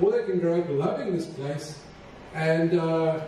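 A man's fairly high-pitched voice with a dark, mellow tone, ordinary pitch variation and a fairly slow pace, with audible room echo

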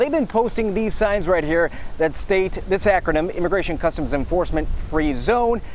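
At a moderate pace, a man speaks in a dry recording with no echo and light background noise. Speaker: TV news reporter. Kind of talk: TV news field reporting, live stand-up and packaged story voiceover. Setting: outdoors, live on location. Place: street. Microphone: lapel.

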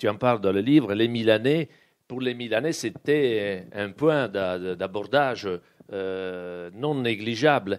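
Against a quiet background, a man speaks at a very slow pace and medium pitch, with ordinary pitch variation and big swings in loudness. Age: 50s. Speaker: publisher and event moderator. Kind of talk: moderated interview at a book event. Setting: bookshop event with live audience. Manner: halting.

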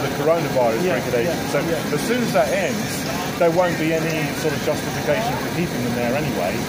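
Loud background noise fills the recording. Over it, a man speaks at a very fast pace. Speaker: candidate. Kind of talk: street conversation explaining policy. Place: market.

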